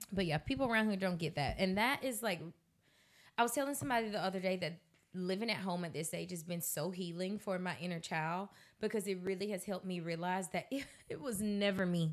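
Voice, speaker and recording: On a very clean recording with a silent background, a woman with an American accent speaks at a fairly quick pace. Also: medium pitch for a woman, ordinary pitch variation. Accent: Southern, noticed by locals. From US South, Georgia (Colquitt). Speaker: podcast co-host. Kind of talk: casual chat. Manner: fast, clearly enunciated.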